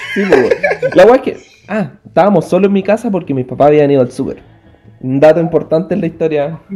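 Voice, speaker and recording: Against noticeable background noise, a man with a Chilean accent speaks at a high pitch with lively intonation. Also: fairly quick pace. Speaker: podcast co-host. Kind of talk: casual chat.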